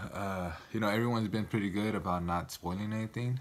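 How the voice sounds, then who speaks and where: Talking at a very fast pace, a man keeps his fairly low voice in fairly even intonation. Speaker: TV show reaction youtuber. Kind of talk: casual video review. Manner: casual, hesitant with fillers.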